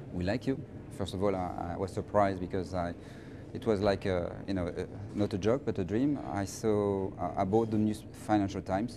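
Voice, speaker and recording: A man speaks with a French accent at fairly low pitch. His tone is dark and mellow, with ordinary pitch variation. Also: moderate pace. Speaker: finance professional. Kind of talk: interview. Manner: halting, many repetitions.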